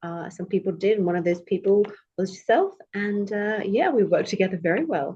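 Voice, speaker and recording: With a British accent, the voice has a dark, mellow tone and moves at a fairly quick pace. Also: woman. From Australia, born in the UK. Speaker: English tutor and former lawyer. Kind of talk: podcast interview.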